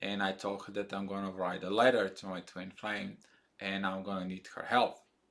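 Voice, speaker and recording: At a moderate pace, a man with a fairly low pitch speaks with a non-native accent. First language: not English. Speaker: spiritual video blogger. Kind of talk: casual monologue. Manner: halting, many fillers.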